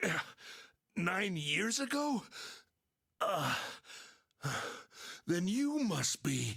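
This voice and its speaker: Using a put-on character voice at a middle pitch, the speaker moves at a very slow pace with long, frequent pauses. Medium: video game. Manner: hesitant.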